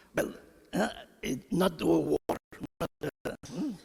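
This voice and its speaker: Speaking at a very slow pace, a man talks with a non-native accent. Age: 80s+. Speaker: elderly chess player. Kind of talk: unscripted remarks on stage. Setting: stage with audience. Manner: halting.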